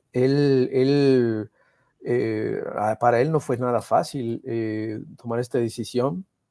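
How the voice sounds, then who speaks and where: Against a quiet background with a dry sound and no echo, a man speaks at a very slow pace with fairly even intonation. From Veracruz, Mexico. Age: middle-aged. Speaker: political cartoonist; guest. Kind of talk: conversational interview. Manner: halting, many repetitions. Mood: warm, reflective tribute. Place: home room. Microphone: earbuds.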